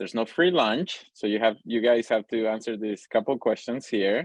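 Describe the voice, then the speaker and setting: A man's fairly low voice in a Spanish accent, with ordinary pitch variation. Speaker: pediatric cardiac intensivist, lecturer. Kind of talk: lecture. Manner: fast; hesitant with fillers.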